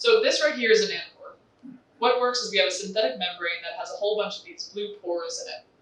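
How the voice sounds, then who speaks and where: Very fast speech with an American accent over noticeable background noise. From US, New York. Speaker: industry sales representative. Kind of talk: conference presentation.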